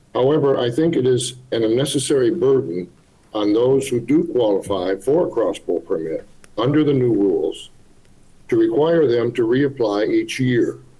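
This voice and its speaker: At a moderate pace, a man with a medium pitch and a dark, mellow tone speaks in a somewhat breathy voice with lively intonation and very even loudness. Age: 70s. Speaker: hunter giving public comment. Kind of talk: public comment at a meeting. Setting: video link to public meeting. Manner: formal.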